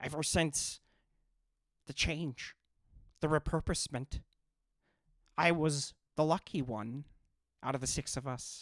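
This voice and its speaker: A put-on character voice sits at a low-to-middle pitch. It moves at a fairly slow pace with long, frequent pauses. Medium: actual play. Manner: stammering, nervous.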